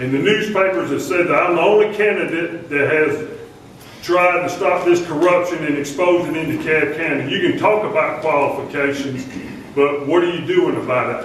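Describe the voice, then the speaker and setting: A man's high voice with a Southern US accent, ordinary pitch variation and a moderate pace, plus noticeable background noise and audible room echo. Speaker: political candidate, army veteran. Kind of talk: campaign speech at candidate forum. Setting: public forum with audience. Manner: loud. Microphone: speaking without microphone.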